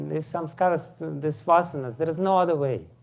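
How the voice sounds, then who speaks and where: With a strong Russian accent and lively intonation, a man speaks amid audible room echo. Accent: thick Russian. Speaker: spiritual teacher. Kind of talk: lecture. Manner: halting, many fillers.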